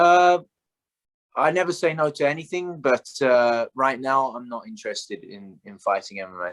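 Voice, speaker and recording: A man with a British accent and a fairly high pitch speaks at a moderate pace, with very wide pitch swings and big swings in loudness. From England, London. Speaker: Muay Thai fighter. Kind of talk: interview. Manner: hesitant, many fillers.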